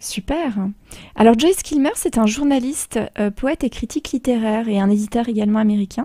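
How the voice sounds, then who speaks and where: A woman's voice carries a dark, mellow tone and a fairly high pitch. She moves at a fairly quick pace. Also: ordinary pitch variation, dry, close sound with no echo. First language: Polish (speaking French). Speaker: radio host. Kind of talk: radio talk show.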